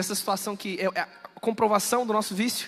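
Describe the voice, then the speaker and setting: High pitch from a man, with normal pitch variation. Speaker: preacher. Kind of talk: sermon. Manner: fast.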